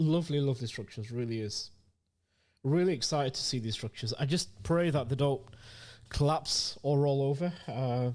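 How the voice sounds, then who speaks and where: A fairly high-pitched man at a moderate pace, with ordinary pitch variation, in a very clean recording over a silent background. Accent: British. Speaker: crypto market analyst. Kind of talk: market review livestream. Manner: casual, conversational.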